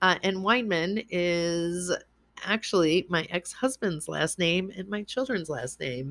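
A woman with an American accent, fairly low in pitch, very slow in pace, with lively intonation. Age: 40s. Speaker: podcast host, intuitive. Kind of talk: personal monologue. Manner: casual, hesitant with fillers.

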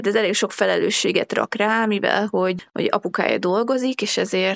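At a moderate pace, a woman talks with a dry, close sound with no echo. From Hungary. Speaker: traveller and hitchhiker. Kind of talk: casual interview.

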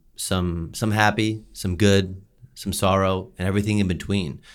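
A man's fairly low voice with ordinary pitch movement, at a fairly slow pace. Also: very clean recording, silent background. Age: 30s. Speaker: podcast co-host. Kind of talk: casual chat.

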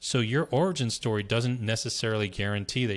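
Here a man with an American accent talks in an ordinary speaking voice. He speaks at a fairly quick pace in a medium pitch. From US, Berkeley, California. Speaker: brand strategist. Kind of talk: interview.

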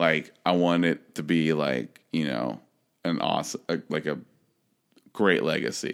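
A man's very deep, low voice with vocal fry, a fairly slow pace, long and frequent pauses, and ordinary pitch variation. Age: 30s. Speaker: podcast co-host. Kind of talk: casual chat. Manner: halting.

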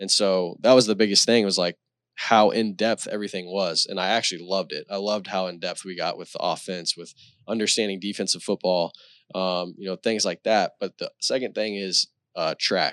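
In a very clean recording with a silent background and a dry, close sound with no echo, a man with a Texan accent talks fairly quickly in a fairly low, monotone voice with flat intonation and big swings in loudness. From Texas, Celina. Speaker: high school football coach, former college quarterback. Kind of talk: casual chat.

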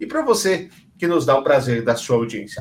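This is a man's voice. It sounds somewhat breathy. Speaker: podcast host. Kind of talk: casual chat. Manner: animated.

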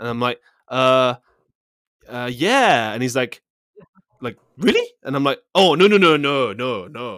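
The speech moves at a fairly slow pace with lively intonation, broken by long, frequent pauses. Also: man, medium pitch for a man. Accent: British. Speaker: actor and musician. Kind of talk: casual chat. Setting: remote call, different time zones.

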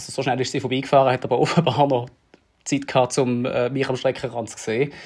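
Over a quiet background, a man at medium pitch talks at a very fast pace. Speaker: triathlon coach and podcast host. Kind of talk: casual chat.

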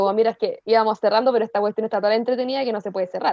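In a Chilean accent, a woman with a fairly high pitch speaks at a very fast pace. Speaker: podcast co-host. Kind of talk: casual chat.

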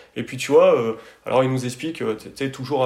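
A man at a medium pitch and moderate pace, with noticeable background noise. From France, Drôme (Tain-l'Hermitage area). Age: 30s. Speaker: architect. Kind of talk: interview. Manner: halting, many repetitions and fillers.

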